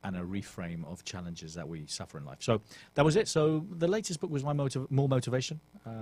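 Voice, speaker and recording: With a British accent, a man of medium pitch talks very fast in a somewhat breathy voice, with very wide pitch swings and big swings in loudness. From England. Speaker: author and motivational coach. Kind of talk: radio interview. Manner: direct.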